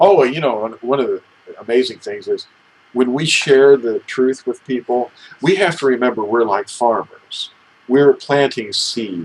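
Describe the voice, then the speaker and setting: An unremarkable speaking voice from a man at medium pitch and a moderate pace, with ordinary pitch variation. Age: 60s. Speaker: religious teacher, talk show co-host. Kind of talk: casual religious discussion.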